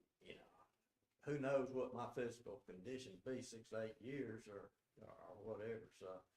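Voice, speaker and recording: In a Southern US accent, the speaker goes at a fairly slow pace with fairly even intonation and big swings in loudness. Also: man, medium pitch for a man. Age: 70s. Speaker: senior hunter addressing commission. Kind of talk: public comment.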